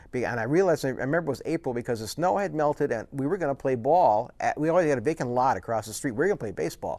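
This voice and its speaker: A man with an Upper Midwest accent talks at a very fast pace and fairly high pitch, with lively intonation. The recording is very clean, with a silent background. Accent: Upper Midwest American. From US Midwest, Wisconsin (Menomonee Falls). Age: 50s. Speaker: author and former broadcast journalist. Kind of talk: casual interview.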